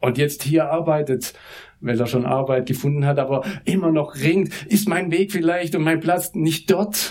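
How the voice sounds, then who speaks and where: At a fairly slow pace, a man with an unremarkable speaking voice talks with a fairly high pitch and ordinary pitch variation. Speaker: pastor, mission director. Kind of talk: sermon. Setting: church service.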